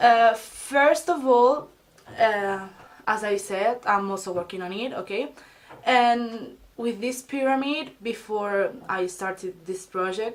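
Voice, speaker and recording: Speaking very slowly, a woman with a Spanish accent uses a fairly high pitch and ordinary pitch variation. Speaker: beauty and self-help vlogger. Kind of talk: casual advice vlog. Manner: halting, many fillers and restarts.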